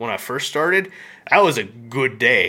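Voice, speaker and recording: With an American accent, a man speaks in a bright, sharp tone. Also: very clean recording, silent background. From Memphis, Tennessee (US South). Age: 20s. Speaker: Twitch streamer. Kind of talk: casual chat.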